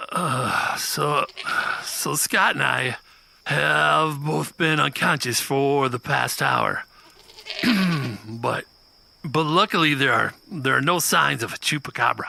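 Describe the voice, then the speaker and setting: A man uses a raspy, put-on character voice at a medium pitch, moving at a fairly slow pace with long, frequent pauses. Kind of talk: comedy audio drama. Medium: audio drama.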